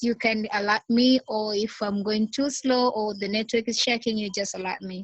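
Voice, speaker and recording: The woman's voice is fairly high in pitch. It sounds somewhat breathy. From Tanzania. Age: young. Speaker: small business founder. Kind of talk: video call discussion. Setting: video call. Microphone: unstable network connection.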